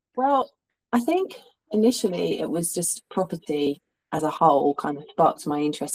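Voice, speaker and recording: A woman with a slight Cockney accent speaks at a fairly low pitch and a fairly quick pace with lively intonation, in a dry, close sound with no echo. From suburbs of London. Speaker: hairstylist and rental business owner. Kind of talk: interview. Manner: halting, many fillers.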